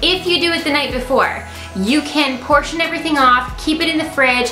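Raised, projected woman's voice at a moderate pace with ordinary pitch variation, clear background music and audible room echo. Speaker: nutrition vlogger. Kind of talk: casual vlog chat. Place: home room.

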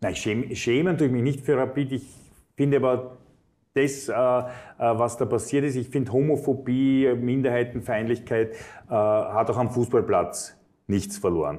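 A man speaks slowly-ish, at a fairly slow pace, with a dark, mellow tone and ordinary pitch variation. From Vienna, Austria; Austria. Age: 50s. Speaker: politician. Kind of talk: interview. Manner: frequent filler hesitations. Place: studio. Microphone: lapel.

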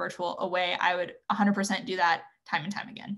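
A woman with an American accent against a quiet background. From Northern California. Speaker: medical student; panelist. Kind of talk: webinar panel discussion. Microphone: video call.

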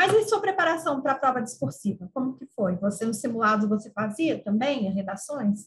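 The voice moves at a fairly quick pace with very wide pitch swings and hardly any pauses against a quiet background. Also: woman. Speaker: interviewer. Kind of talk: interview, conversational. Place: home room. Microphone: video call.

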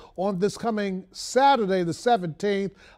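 Against a quiet background, a man with an American accent speaks at a high pitch with ordinary pitch variation. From Baltimore, Maryland. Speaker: radio and TV host; radio, TV host. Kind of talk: broadcast hosting; broadcast closing remarks. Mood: warm, earnest. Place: studio. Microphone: lapel.

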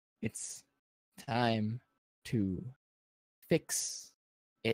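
A put-on character voice comes across as robotic and low in pitch.

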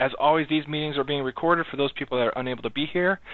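Over a quiet background, a man speaks very fast in a dry sound with no echo. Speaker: software project lead; meeting host presenting. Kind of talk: online meeting. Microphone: video call.

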